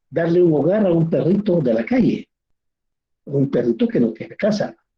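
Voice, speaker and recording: His voice is somewhat breathy. The man's intonation is lively. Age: 60s. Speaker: teacher. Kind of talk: lecture.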